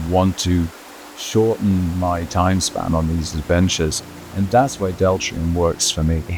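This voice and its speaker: A man with an English accent and a very deep, low pitch at a moderate pace, amid noticeable background noise. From England. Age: 60s. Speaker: motorcycle journalist and charity cyclist. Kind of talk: product testimonial.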